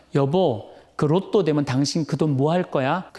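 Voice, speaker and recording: In a put-on character voice, a man speaks at a fairly high pitch in a very clean recording with a silent background. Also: moderate pace. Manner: sweet, coaxing.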